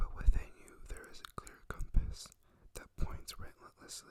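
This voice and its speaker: A fairly slow whisper. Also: man. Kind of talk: poetry reading. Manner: whispered, soft.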